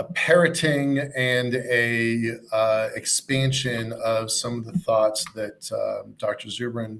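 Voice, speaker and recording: This man talks at a very slow pace, his pitch medium and its variation ordinary. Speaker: event host. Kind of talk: live online event hosting. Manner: halting, many fillers.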